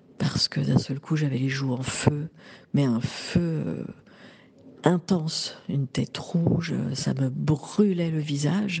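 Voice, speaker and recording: Against noticeable background noise, a woman speaks at a very slow pace with long, frequent pauses and ordinary pitch variation. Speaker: woman giving a menopause testimony. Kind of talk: testimony. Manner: halting.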